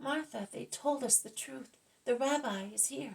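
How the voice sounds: A put-on character voice with vocal fry, a slightly mellow tone and a slightly husky edge moves at a fairly slow pace. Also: woman, high pitch for a woman, ordinary pitch variation.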